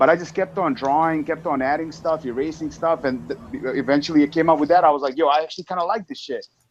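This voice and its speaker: A man with a non-native accent, very fast and with hardly any pauses, fairly high in pitch, with ordinary pitch variation. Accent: foreign. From Eastern Europe. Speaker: motovlogger. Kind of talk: casual chat.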